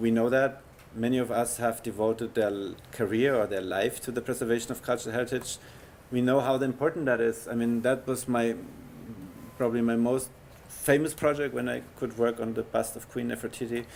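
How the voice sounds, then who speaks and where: Speaking with a German accent, a man talks at a fairly quick pace. His pitch is medium and his intonation fairly even. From Germany, Bavaria. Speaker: heritage conservation scientist. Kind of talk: lecture. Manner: halting.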